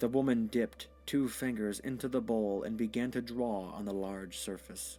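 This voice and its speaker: Music in the background behind a man's medium-pitched voice. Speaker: storyteller. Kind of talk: audio short story narration.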